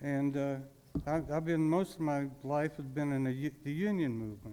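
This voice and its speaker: A man with a fairly high pitch talks at a moderate pace, his tone dark and mellow and his pitch variation ordinary. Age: 70s. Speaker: citizen speaker at public comment. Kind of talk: public comment speech. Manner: halting, many restarts.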